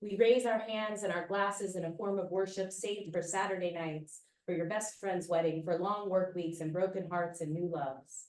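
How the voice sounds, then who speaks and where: A woman speaks at a moderate pace with a medium pitch and hardly any pauses. Her intonation stays fairly even. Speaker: poet. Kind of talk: poetry reading. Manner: loud.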